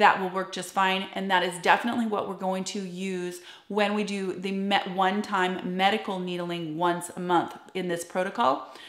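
A woman at a moderate pace with hardly any pauses, plus audible room echo. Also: medium pitch for a woman. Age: 40s. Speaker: esthetician and skincare YouTuber. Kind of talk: tutorial. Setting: home office. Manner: animated. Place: home room.

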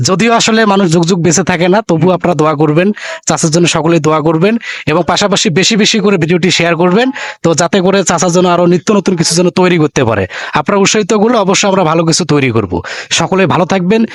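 A man's high-pitched voice with ordinary pitch variation and very even loudness, dry and close with no echo, against noticeable background noise. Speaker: local YouTube reporter. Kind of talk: street interview and video presentation.

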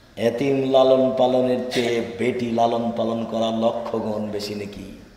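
A man speaks at a medium pitch, and the room echo is audible. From Bangladesh. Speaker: Islamic preacher. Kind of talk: religious sermon. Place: hall. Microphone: podium.

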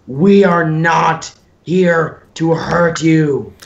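The voice sits at a middle pitch. It is a put-on character voice. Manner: loud yelling.

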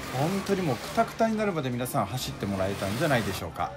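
Noticeable background noise fills the recording. Through it, a man talks very fast. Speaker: motorsport announcer and video narrator. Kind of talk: race commentary and video narration.

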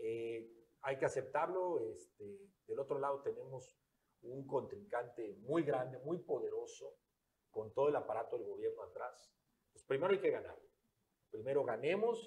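A man at a fairly slow pace, with big swings in loudness. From Quintana Roo. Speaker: political candidate; candidate. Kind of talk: interview. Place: studio. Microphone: lapel.

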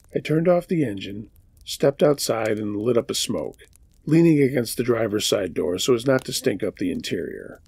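Somewhat breathy, a man talks at a moderate pace and medium pitch with lively intonation. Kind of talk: scary story narration, read aloud.

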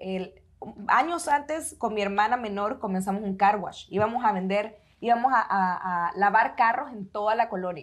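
A woman with a Salvadoran accent at a moderate pace, with ordinary pitch variation against a quiet background. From El Salvador. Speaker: architect turned business owner, podcast co-host; podcast co-host. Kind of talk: casual chat. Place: studio. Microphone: lapel.

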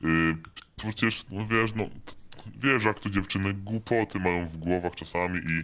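Putting on a character voice, a man speaks at a fairly quick pace with a fairly low pitch and ordinary pitch variation. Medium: machinima. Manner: casual, hesitant filler words.

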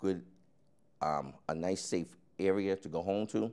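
With vocal fry and a dark, mellow tone, a man speaks at a very deep, low pitch. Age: 50s. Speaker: city council candidate. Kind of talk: interview. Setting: studio. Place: studio. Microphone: lapel.

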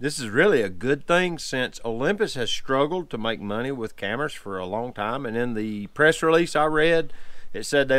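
A man speaks in a dry sound with no echo. The background is quiet. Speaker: photography vlogger. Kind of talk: casual vlog chat. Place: home room.

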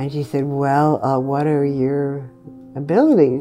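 A woman's voice with faint music in the background. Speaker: interviewee. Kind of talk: interview answer. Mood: warm, amused. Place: home room.

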